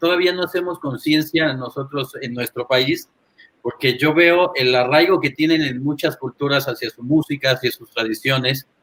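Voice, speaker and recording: With a plain, everyday voice, a man speaks at a fairly high pitch and moderate pace, his pitch varying in an ordinary way. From Toluca, central Mexico (born in Monterrey). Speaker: jazz saxophonist. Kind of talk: casual interview chat.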